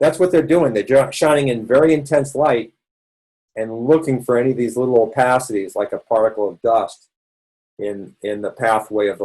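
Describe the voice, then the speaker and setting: A man at a medium pitch, dark, mellow tone, ordinary pitch variation. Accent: Boston. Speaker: doctor leading a health support session. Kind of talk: educational webinar lecture. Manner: casual, conversational with fillers.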